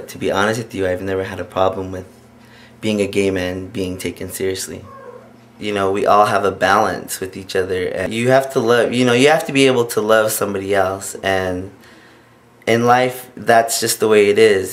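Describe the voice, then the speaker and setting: Moderate pace and fairly even intonation in an American accent, with noticeable background noise. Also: man. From Hopi Reservation, Arizona, US. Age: 30s. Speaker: interviewee. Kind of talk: interview.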